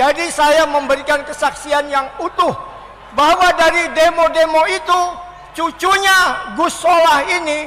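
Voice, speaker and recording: A raised, projected voice at a fairly slow pace, with fairly even intonation and very even loudness, over noticeable background noise. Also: man, extremely high pitch for a man. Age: 70s. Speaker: elderly activist giving testimony. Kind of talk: speech to an audience.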